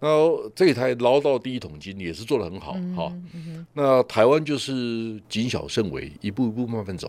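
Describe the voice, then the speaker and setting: With a Taiwanese accent, a man speaks at a medium pitch and moderate pace, his pitch swinging very widely and his loudness rising and falling by big amounts. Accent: Taiwanese Mandarin. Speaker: tech industry commentator, show host. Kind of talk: casual chat.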